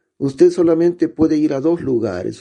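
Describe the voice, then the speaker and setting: A man's voice has a dark, mellow tone and moves at a moderate pace. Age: 60s. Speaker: pastor. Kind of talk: sermon.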